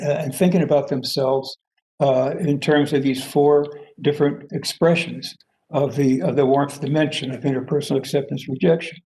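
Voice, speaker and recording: A man speaks with a dark, mellow, somewhat breathy tone, fairly high in pitch. His pace is moderate and his intonation fairly even. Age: 80s+. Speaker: professor and theory founder. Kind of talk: lecture. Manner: halting, many fillers.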